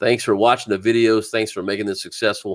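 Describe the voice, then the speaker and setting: A man with a Southern US accent, fairly even intonation, and a dry, close sound with no echo. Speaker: fishing channel host. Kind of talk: casual livestream chat. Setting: live stream.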